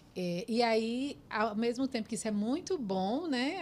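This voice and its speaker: Her fairly high pitch and ordinary pitch variation come through an ordinary speaking voice as a woman talks. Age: 40s. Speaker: podcast host, psychologist. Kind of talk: podcast interview.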